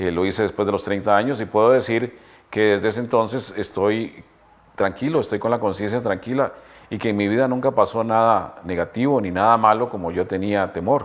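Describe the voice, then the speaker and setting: Fairly low in pitch, this man talks at a fairly quick pace. His intonation stays fairly even. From Costa Rica, Heredia. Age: 60s. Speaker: retired journalist. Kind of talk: testimony. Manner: hesitant with fillers.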